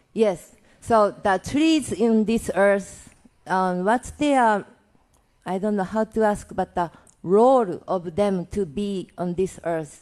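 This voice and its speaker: A woman with a non-native accent at a very slow pace, her pitch varying in an ordinary way. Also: medium pitch for a woman. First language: not English. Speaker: audience questioner, tree worker. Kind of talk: audience question. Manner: halting.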